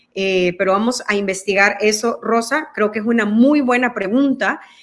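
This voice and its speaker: A fairly high-pitched woman with a Mexican accent, at a fairly slow pace, with ordinary pitch variation and a quiet background. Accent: quite Mexican-sounding Spanish. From El Salvador. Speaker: guest. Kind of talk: interview. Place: home room.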